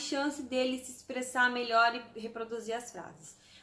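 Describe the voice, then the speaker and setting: This woman's voice sits fairly high and has a bright, sharp tone. Her intonation stays monotone and flat. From Brazil, Santos. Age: 30s. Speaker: vlogger. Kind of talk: casual vlog storytelling.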